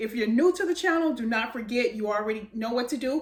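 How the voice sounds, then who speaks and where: A woman's intonation moves in a lively way as clear background noise runs underneath. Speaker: home baking video host. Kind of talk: cooking tutorial. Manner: fast; casual, filler-heavy.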